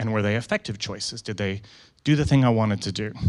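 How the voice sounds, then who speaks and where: A man speaks fairly quickly at a medium pitch. He has a slight Canadian accent. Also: very clean recording, silent background. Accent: slightly American-sounding Canadian. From Canada. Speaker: photographer and conference speaker. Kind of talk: conference talk. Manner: fast; casual, animated.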